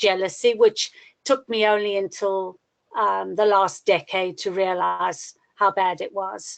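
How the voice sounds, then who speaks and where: A woman's monotone, flat delivery at a fairly slow pace. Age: 60s. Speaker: astrology student sharing her chart. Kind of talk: personal testimony in a webinar class. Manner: halting, many fillers.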